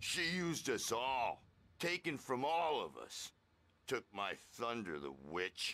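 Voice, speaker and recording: Putting on a gruff character voice, a man at a medium pitch speaks at a fairly slow pace with very wide pitch swings. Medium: video game. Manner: slangy, gruff.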